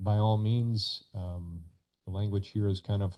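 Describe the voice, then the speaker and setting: Over a quiet background, a man speaks in a fairly low, somewhat breathy voice with a dark, mellow tone. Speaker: county administrator. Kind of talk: committee meeting presentation.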